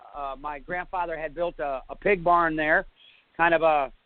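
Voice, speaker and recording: With a slight northern US accent, a man speaks in a high voice with fairly even intonation. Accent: slight northern US (Yankee). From northern New York, US. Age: 40s. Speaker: bigfoot eyewitness. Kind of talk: interview testimony. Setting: internet radio show. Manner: halting, many fillers.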